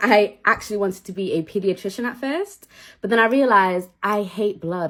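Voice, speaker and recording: With a Manchester accent, a woman talks fairly quickly in an animated, bright, sharp tone at a medium pitch. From northern England, Manchester. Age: 20s. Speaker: cake maker and content creator. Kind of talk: casual get-ready-with-me chat.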